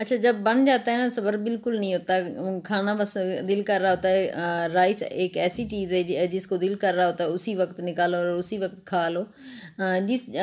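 Fairly slow, fairly even speech from a woman at a medium pitch. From Pakistan. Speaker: vlogger. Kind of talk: casual vlog talk. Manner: sounds like angry tone, but isn't. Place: kitchen. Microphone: phone near.

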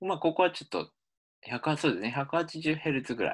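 On a very clean recording with a silent background, a man talks at a medium pitch in a bright, sharp tone with vocal fry. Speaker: linguistics professor. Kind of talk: lecture.

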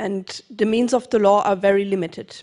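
A woman with a German accent, flat and monotone, against a quiet background. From Germany. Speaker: legal scholar; panelist. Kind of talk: panel discussion. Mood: earnest, measured. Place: hall. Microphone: handheld.

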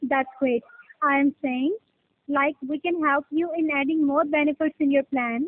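Against a quiet background, a woman speaks at a moderate pace. Her pitch is high and her intonation fairly even. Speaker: caller. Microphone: phone line.

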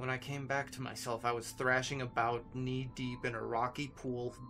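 Here someone reads in a natural voice.

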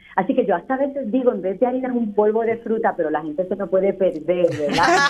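Speech at a fairly quick pace carries lively intonation over noticeable background noise. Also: woman. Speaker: entrepreneur. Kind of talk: interview. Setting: phone call.

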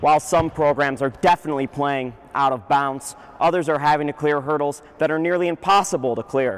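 A man with fairly high pitch speaks at a fairly quick pace with fairly even intonation. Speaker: sports reporter and anchor. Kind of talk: sports recap broadcast reporting. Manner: dry, sarcastic humor.

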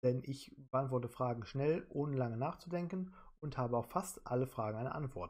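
This man's voice sits at a medium pitch and is somewhat breathy. He keeps a moderate pace with ordinary pitch variation. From Germany, Solingen (North Rhine-Westphalia). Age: 30s. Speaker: quiz show applicant. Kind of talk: self-presentation video.

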